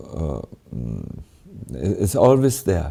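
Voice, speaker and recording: A man's fairly low voice with a German accent, very wide pitch swings and a dark, mellow tone. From Germany. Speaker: monk and spiritual teacher. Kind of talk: spiritual Q&A answer. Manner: halting, many fillers.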